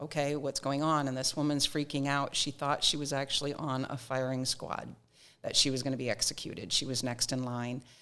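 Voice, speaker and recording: A woman's very deep, low voice in a Nova Scotia accent, fairly quick and monotone, on a very clean recording with a silent background. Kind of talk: interview.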